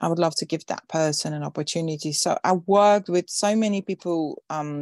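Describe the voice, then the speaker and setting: Against a quiet background, a woman with a Dutch accent talks at a fairly quick pace and fairly low pitch, her sound dry and close with no echo. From Netherlands. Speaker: events industry founder and speaker. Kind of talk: interview. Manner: halting, many fillers and repetitions.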